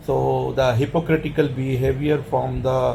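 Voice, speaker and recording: Dark and mellow, this man's medium-pitched voice is somewhat breathy. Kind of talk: personal opinion monologue. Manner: halting.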